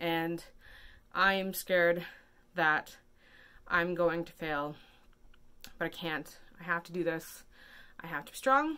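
Very slowly and with long, frequent pauses, a woman speaks at a fairly low pitch in a bright, sharp tone with fairly even intonation. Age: 30s. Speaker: vlogger. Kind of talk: casual vlog monologue. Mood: anxious, emotional, earnest. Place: home room. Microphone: phone near.

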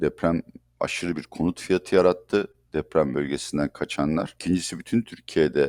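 A man with a very deep, low pitch and vocal fry talks at a moderate pace. The recording is very clean, with a silent background and a dry, close sound with no echo. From Turkey. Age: 60s. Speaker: economist. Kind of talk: interview.

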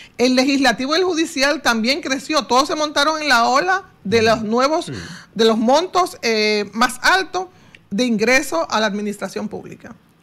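The voice has a bright, sharp tone and lively intonation. It moves at a moderate pace. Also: woman, high pitch for a woman. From Dominican Republic. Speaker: economist; guest. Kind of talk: radio interview. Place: studio. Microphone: studio mic.

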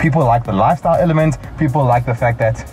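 A man's voice over faint background music. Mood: playful teasing. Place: car. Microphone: lapel.

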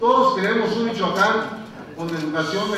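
Against light background noise and strong room echo, a man talks at a fairly slow pace. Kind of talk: formal oath and speech. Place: hall.

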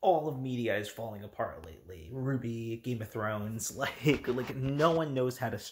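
With lively intonation and a medium pitch, a man talks in a somewhat breathy voice. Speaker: YouTuber discussing manga. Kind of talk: casual vlog commentary. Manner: halting, many fillers.

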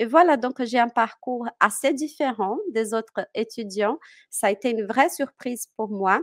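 A woman with a Portuguese accent at a very slow pace, ordinary pitch variation, dry sound with no echo and a quiet background. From Brazil, Minas Gerais. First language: Portuguese (speaking French). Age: 30s. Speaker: French teacher. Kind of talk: interview. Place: home room. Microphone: headset.

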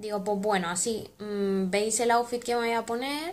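The voice belongs to a woman. She talks at a moderate speed. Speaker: vlogger. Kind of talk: casual vlog chat. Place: home room. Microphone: phone near.

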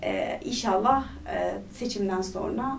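A woman is talking, with light noise in the background. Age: 30s. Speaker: parliamentary candidate, politician; candidate, politician. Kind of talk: interview. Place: studio.

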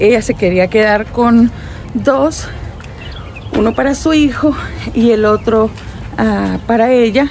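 A woman's voice with ordinary pitch variation, faint music behind it, and a dry sound with no echo. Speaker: family vlogger. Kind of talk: casual vlog chat. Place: garden. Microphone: phone near.

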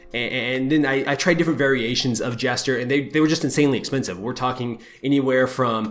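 This is a man's voice. His intonation is fairly even. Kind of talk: casual vlog chat. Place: home room. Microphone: webcam.

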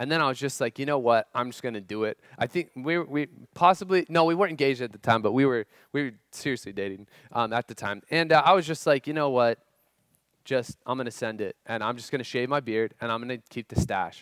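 Over a quiet background, a man speaks at a very fast pace with ordinary pitch variation. The sound is dry with no echo. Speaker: youth pastor. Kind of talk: sermon. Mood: humorous personal story. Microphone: headset.

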